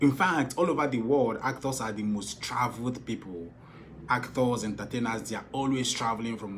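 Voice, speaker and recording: Audible room echo surrounds a man with a southeastern Nigerian accent and an animated tone. He talks at a moderate pace and medium pitch, with ordinary pitch variation. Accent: Nigerian Igbo accent in English. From Nigeria, Igbo. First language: Igbo. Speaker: film director and producer. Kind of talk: vlog advice talk.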